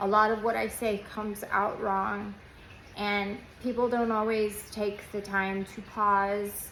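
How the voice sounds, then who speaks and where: A woman speaks in a monotone, flat intonation with audible room echo. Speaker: former nurse turned patient vlogger. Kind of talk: casual vlog monologue. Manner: halting, many fillers.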